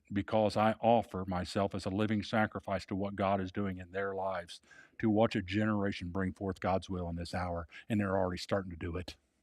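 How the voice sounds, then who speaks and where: A man with a normal speaking voice talks at a moderate pace with fairly low pitch and fairly even intonation. The recording is very clean with a silent background and has a dry, close sound with no echo. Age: 60s. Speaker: pastor. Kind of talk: sermon.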